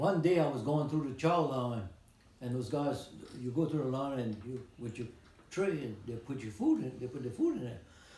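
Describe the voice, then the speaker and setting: A man speaks at medium pitch and a moderate pace, his tone dark and mellow and somewhat breathy. Pitch variation is ordinary, and audible room echo surrounds him. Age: 90s. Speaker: retired postal worker and Navy veteran. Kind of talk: interview.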